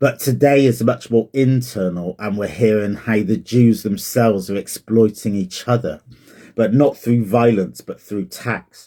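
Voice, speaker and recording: A man's medium-pitched voice at a fairly slow pace, with ordinary pitch variation. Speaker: Bible reflection vlogger. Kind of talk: casual spoken Bible reflection. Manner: slow, staccato.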